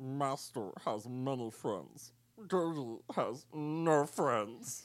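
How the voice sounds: This is a put-on character voice with a low-to-middle pitch. It moves at a very slow pace.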